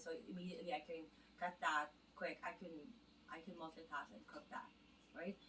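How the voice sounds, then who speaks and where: A woman with a Filipino accent talks at a moderate pace, her fairly low pitch showing ordinary pitch variation. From Philippines. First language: Filipino (Tagalog). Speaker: home cook vlogger. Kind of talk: casual vlog tutorial. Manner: halting, many fillers.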